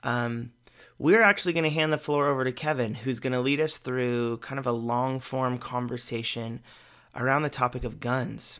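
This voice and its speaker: This man has an unremarkable speaking voice with a General American accent and a medium pitch. He speaks at a moderate pace. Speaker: podcast host. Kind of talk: podcast intro, conversational.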